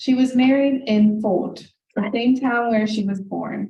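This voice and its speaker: The voice is somewhat breathy, with a dark, mellow tone and fairly even intonation. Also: woman. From US, Hungarian-American family. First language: Hungarian. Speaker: author. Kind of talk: reading aloud.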